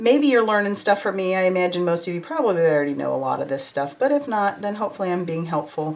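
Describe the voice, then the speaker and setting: With lively intonation and a fairly quick pace, a woman's voice comes through noticeable background noise. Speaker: card-making crafter. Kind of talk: live craft tutorial. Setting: livestream. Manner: casual, chatty.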